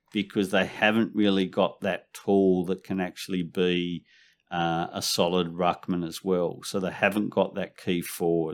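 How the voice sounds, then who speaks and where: The recording is very clean, and the background is silent. The man has an Australian accent. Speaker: fantasy football analyst. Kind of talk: casual chat.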